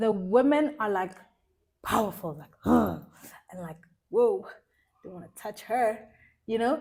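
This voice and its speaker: A woman's voice with vocal fry and lively intonation, marked by big swings in loudness and long, frequent pauses. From South Africa, Free State (Bloemfontein). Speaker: fashion designer and stylist. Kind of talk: casual interview chat.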